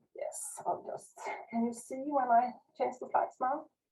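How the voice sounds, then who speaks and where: A woman with a non-native accent speaks at a high pitch in a dark, mellow tone. Her pace is fairly slow, with ordinary pitch variation. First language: Danish. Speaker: researcher. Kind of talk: lecture. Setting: video call. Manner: halting.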